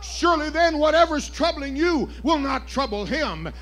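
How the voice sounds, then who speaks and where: A man is speaking. Music plays in the background. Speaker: preacher. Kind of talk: sermon. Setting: church. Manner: animated; loud. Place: church.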